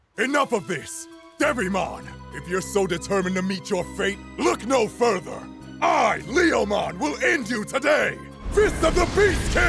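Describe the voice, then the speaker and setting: A man puts on a character voice while clear music plays behind him. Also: moderate pace. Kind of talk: overwrought heroic declamation. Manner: solemn, dramatic, shouting battle cries.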